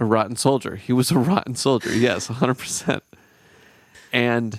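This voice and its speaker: A man with a medium pitch is heard in a dry, close sound with no echo. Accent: American. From Minnesota, US. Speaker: podcast host, touring musician. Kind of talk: casual chat. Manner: animated.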